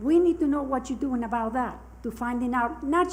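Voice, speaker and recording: Fairly quick speech with ordinary pitch variation and audible room echo. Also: woman. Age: 80s+. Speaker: resident speaking at public comment. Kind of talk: public comment. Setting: council meeting.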